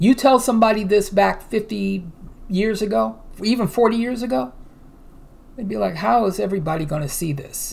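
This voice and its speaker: A woman speaks at a moderate pace with vocal fry and lively intonation. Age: 50s. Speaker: news commentary youtuber. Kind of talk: reading news articles aloud with commentary. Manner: casual, hesitant with fillers. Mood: earnest, preaching tone. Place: home room. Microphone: webcam.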